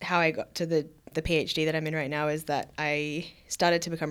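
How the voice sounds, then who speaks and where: A woman speaks with an Australian accent at a very deep, low pitch. Her intonation is fairly even, and the recording is very clean with a silent background. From Victoria, Australia (Queenscliff, near Geelong). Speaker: PhD researcher. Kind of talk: interview conversation.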